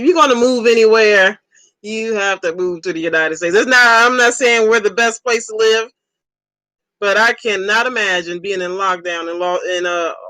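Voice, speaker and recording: Someone speaks at a moderate pace in a Southern US accent. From Ohio, US. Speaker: livestreamer. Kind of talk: casual chat. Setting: live stream.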